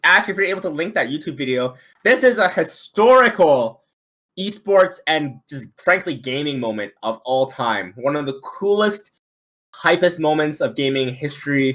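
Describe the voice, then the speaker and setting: A man with a non-native accent, very wide pitch swings and a moderate pace, on a very clean recording with a silent background. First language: not English. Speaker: esports association co-founder, trivia host. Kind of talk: live-streamed trivia game show. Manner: animated.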